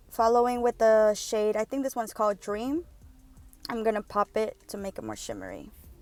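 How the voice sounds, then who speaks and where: Over music in the background, a woman talks at a fairly quick pace in a fairly high pitch with fairly even intonation, the sound dry and close with no echo. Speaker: beauty vlogger. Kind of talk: makeup tutorial voiceover. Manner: fast; casual.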